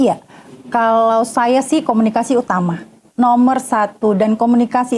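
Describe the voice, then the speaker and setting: A woman with a fairly high voice speaks at a fairly slow pace, her intonation fairly even. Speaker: debate moderator and media personality. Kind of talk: talk show interview.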